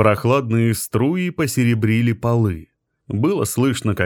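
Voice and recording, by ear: Over a quiet background, the speaker is reading aloud in a natural voice with ordinary pitch variation.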